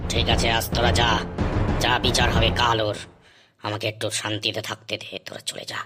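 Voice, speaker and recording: In a cartoonish character voice, the lines come at a moderate pace with monotone, flat intonation. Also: man, medium pitch for a man. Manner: gruff, irritable.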